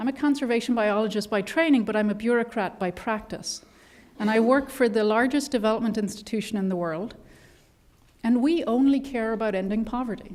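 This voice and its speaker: At a fairly quick pace, a woman with an Irish accent speaks at a fairly high pitch. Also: ordinary pitch variation. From Ireland. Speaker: conservation biologist at a development bank. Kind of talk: panel discussion talk. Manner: animated.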